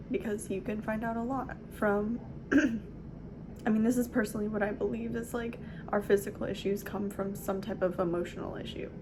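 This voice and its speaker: Noticeable background noise surrounds a woman with an American accent. Her medium-pitched voice moves at a fairly quick pace with fairly even intonation. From Southern California. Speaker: hypnosis practitioner. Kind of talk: casual talk to camera.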